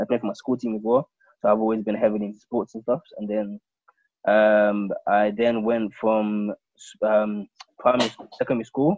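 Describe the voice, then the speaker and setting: A man speaks at a moderate pace with a London accent. His intonation is monotone and flat. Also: fairly low pitch for a man, big swings in loudness. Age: 20s. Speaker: podcast host. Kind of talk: casual chat.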